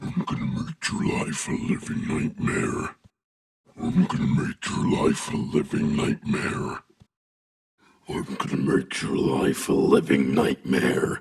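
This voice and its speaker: Putting on a character voice, a man speaks at a fairly slow pace with a raspy, very deep, low pitch. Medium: audio drama. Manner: menacing, threatening.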